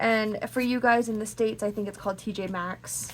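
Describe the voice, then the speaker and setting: A woman uses a normal speaking voice at a medium pitch, her intonation fairly even. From Canada. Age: 30s. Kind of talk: casual talk to camera.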